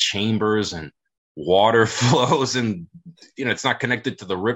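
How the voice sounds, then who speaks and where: An American-accented man with ordinary pitch variation at a moderate pace. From US South, south Florida. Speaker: author and researcher. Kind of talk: casual chat.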